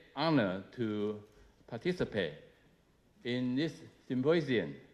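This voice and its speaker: With a Chinese accent, a man talks at a fairly slow pace, his pitch swinging very widely. The background is quiet. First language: Mandarin Chinese. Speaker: government minister. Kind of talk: speech. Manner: halting, many filler uh's.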